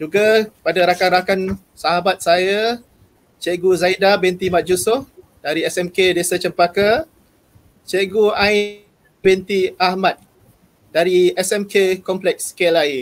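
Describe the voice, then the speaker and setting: A man speaks at a very slow pace in a high pitch, his intonation fairly even. His loudness stays very even throughout. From Malaysia. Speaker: teacher, program emcee. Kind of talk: formal event emcee. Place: home room. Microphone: earbuds.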